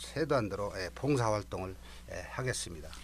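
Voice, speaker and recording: Vocal fry runs through this man's voice. He speaks with lively intonation. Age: 60s. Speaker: retiring fire station chief. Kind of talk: radio interview.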